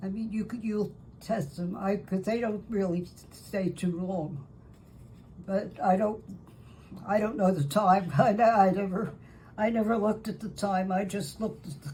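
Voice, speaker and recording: A woman with a medium-pitched voice speaks at a moderate pace amid audible room echo. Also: ordinary pitch variation. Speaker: home baker. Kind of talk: tutorial. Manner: halting.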